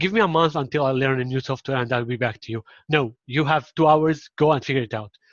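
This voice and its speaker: Against a quiet background, a man with an Arabic accent speaks very fast in a dry, close sound with no echo. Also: medium pitch for a man, ordinary pitch variation. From Syria. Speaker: marketing implementation specialist. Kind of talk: casual interview chat.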